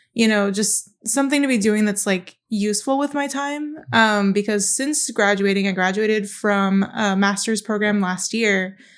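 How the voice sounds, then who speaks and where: A woman with an unremarkable speaking voice talks at a moderate pace with hardly any pauses, using a medium pitch with ordinary variation. The recording is very clean, with a silent background. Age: 20s. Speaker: aspiring TV writer, recent graduate. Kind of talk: casual interview conversation.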